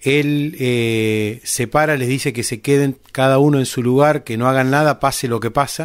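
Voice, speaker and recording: With hardly any pauses, a medium-pitched man keeps a moderate pace and fairly even intonation in a very clean recording with a silent background. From Argentina, Buenos Aires province. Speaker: podcast host. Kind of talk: interview. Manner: halting.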